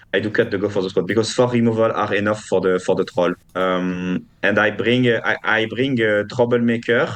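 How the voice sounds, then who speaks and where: A man with a French accent speaks at a fairly quick pace with hardly any pauses. His pitch is fairly low and his intonation fairly even. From France. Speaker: competitive card game player. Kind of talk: interview. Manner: halting, many fillers and repeats.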